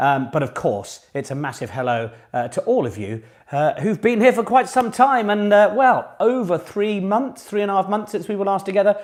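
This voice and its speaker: A man with a British accent speaks in a high, upbeat voice with very wide pitch swings. The recording is very clean, with a silent background. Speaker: online pub quiz host. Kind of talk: live quiz hosting, casual. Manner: chatty, upbeat.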